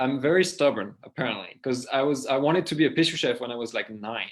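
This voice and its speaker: With a French accent, a man talks at a fairly quick pace in a medium pitch, using ordinary pitch variation. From southwest France (Les Landes, Mont-de-Marsan). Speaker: pastry chef and food entrepreneur. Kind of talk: interview. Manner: casual, halting with fillers.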